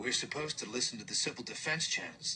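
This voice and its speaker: A man puts on a strained character voice and speaks at a very fast pace. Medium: read story. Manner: even, restrained.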